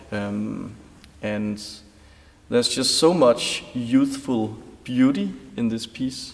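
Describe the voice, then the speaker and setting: Over noticeable background noise, a man with a Danish accent speaks at a very slow pace, with long, frequent pauses. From Denmark. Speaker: concert pianist. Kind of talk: interview.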